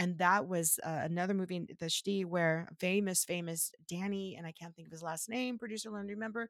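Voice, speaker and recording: Speaking with an American accent, a woman talks at a fairly quick pace with hardly any pauses. Her medium pitch holds fairly even intonation. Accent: American accent, mistaken for British abroad. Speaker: podcast co-host. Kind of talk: casual chat; reading aloud.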